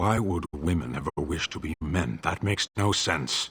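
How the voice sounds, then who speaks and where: A man's put-on character voice, very deep and low-pitched, at a moderate pace. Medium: video game. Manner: blunt, deadpan.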